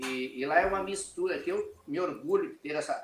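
This man's high voice moves through very wide pitch swings at a fairly slow pace. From Rio Grande do Sul border region, Brazil. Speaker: business mentor, former glass industry executive. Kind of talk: interview.

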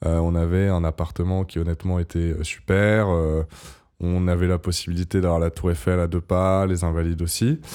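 The dark, mellow voice stays monotone and flat, at a moderate pace and very even loudness, on a very clean recording with a silent background. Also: man, very deep, low pitch for a man. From southern France, Montpellier. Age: 20s. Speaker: podcast guest. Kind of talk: casual interview.

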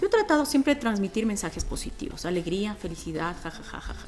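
Here a woman speaks at a fairly quick pace. Her pitch swings very widely. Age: 40s. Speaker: radio host and voiceover artist. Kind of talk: casual podcast interview. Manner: animated.

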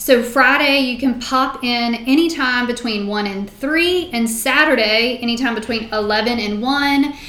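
With a Virginia accent, a woman talks at a fairly slow pace with hardly any pauses, her high pitch showing ordinary variation amid audible room echo and noticeable background noise. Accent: Virginia, US South. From Shenandoah Valley, Virginia. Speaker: nonprofit founder and shop owner. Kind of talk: interview.

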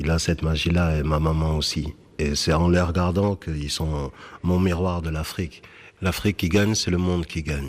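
The man's pitch is very deep and low, his intonation fairly even, and his pace moderate. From France, Bordeaux (Senegalese Fula family). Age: 40s. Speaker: slam poet. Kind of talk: interview in a radio report.

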